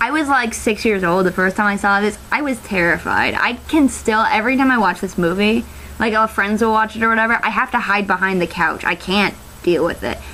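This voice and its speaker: The loudness stays very even and the pace is fairly quick. The tone is animated, with noticeable background noise behind it. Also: woman, medium pitch for a woman, ordinary pitch variation. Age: 20s. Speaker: college student video reviewer. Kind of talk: casual movie review vlog. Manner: halting, many fillers and restarts.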